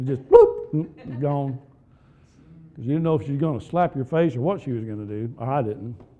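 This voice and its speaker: Fairly high in pitch with a dark, mellow tone, a man talks at a fairly quick pace with big swings in loudness. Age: 50s. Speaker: pastor. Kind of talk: sermon.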